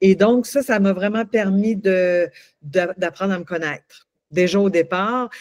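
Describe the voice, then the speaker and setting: A woman with a medium pitch and ordinary pitch variation is heard with a dry, close sound and no echo. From Quebec. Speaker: coach and singer. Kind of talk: interview. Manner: halting, many repetitions.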